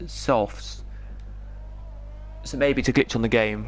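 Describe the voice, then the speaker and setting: With an English accent, a man talks at a moderate pace. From England. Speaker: esports race commentator. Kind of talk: live commentary.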